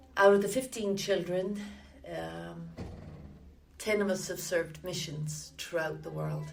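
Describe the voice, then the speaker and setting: A woman with a Limerick accent at a fairly slow pace, long pauses coming often, loudness swinging widely, amid audible room echo and noticeable background noise. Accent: Irish (Limerick). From Ireland (Limerick, southwest). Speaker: church member interviewee. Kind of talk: oral history interview. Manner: hesitant, many fillers.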